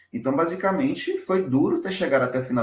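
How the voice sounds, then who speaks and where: The pitch swings very widely as the words come at a fairly quick pace. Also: man. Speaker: doctoral researcher. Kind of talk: academic presentation. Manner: fast.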